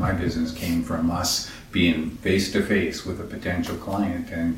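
Over music in the background, the speaker talks at a moderate pace with monotone, flat intonation. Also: man. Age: 60s. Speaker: furniture maker. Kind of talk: casual interview. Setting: home workshop. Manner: halting.

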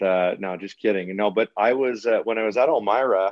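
Speaking at a moderate pace with a Canadian accent and ordinary pitch variation, a man uses a plain, everyday voice. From Eastern Ontario, Canada. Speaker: college hockey coach. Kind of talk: interview conversation.

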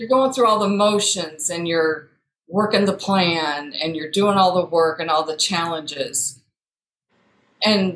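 She talks at a fairly slow pace with a Midwestern US accent. Her pitch is fairly low for a woman, with ordinary pitch variation. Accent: US Midwest. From Iowa. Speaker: coaching client. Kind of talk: casual chat.

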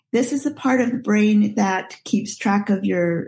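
Somewhat breathy and at a medium pitch, a woman speaks at a fairly slow pace. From Nigeria, later US from age 14. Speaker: pastoral counselor. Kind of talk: interview.

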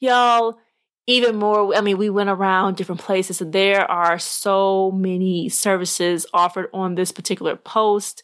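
Woman with an American accent, medium pitch, fairly even intonation and moderate pace, on a very clean recording with a silent background. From Arkansas, US South. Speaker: podcast host. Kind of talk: casual monologue.

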